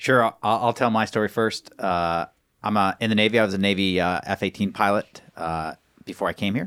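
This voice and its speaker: Recorded very cleanly against a silent background, with a dry, close sound and no echo, a man with an unremarkable speaking voice talks fairly quickly at a fairly low pitch and fairly even intonation. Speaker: astronaut candidate. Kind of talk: casual interview.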